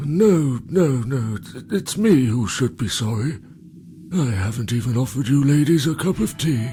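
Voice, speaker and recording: A man uses a put-on character voice at medium pitch with lively intonation. Clear background noise runs behind him. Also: moderate pace. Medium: video game. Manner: hesitant, stammering.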